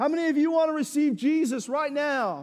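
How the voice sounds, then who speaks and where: A man's squeaky put-on character voice, extremely high in pitch, at a fairly quick pace in a very clean recording with a silent background. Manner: earnest, calling out to a crowd.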